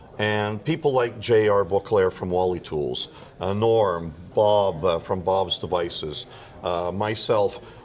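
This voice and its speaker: Against noticeable background noise, a man with a fairly low voice speaks at a fairly slow pace with ordinary pitch variation. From Quebec, Montreal. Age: 60s. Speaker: audio product maker. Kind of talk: interview. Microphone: too far from the mic.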